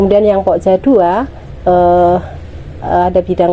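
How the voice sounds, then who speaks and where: Delivery is at a moderate speed. There is noticeable noise in the background. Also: woman. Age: 50s. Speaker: village women's group leader. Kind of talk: interview testimony. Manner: hesitant fillers.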